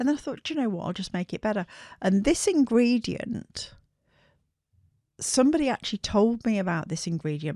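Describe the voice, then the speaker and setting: A woman in a West Midlands accent with very wide pitch swings, on a very clean recording with a silent background and a dry, close sound with no echo. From England, Shropshire. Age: 60s. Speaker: skincare brand founder. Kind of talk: interview storytelling.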